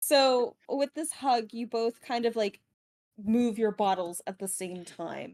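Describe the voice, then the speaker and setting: In a dry, close sound with no echo, a woman speaks very slowly at a fairly high pitch with ordinary pitch variation. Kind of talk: tabletop roleplay narration. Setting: Discord voice call.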